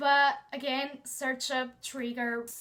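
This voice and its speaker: Speaking in a Portuguese accent, a woman has a high pitch and a bright, sharp tone. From Portugal. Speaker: book vlogger. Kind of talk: casual chat.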